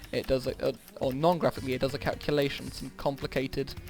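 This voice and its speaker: In a British accent, a man with a fairly high pitch talks at a very fast pace with fairly even intonation. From England. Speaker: gaming youtuber, university student. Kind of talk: casual chat while gaming. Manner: hesitant, many fillers.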